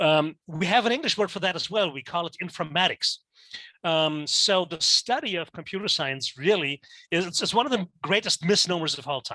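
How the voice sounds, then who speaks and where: A man with a German accent speaks at a high pitch in a bright, sharp tone. The sound is dry and close with no echo, over a quiet background. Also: ordinary pitch variation, moderate pace. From Germany. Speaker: teacher. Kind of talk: lecture. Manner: halting, many fillers.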